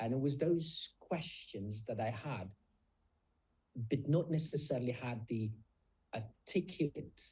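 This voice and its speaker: A man speaks fairly slowly at a medium pitch, somewhat breathy and with a dark, mellow tone, his loudness swinging widely between long, frequent pauses. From South Africa. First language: Afrikaans. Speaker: nurse and author. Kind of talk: interview conversation.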